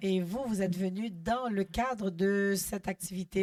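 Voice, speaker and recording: Noticeable background noise is present. Over it, a woman's pitch varies in an ordinary way. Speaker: radio interviewer. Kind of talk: interview.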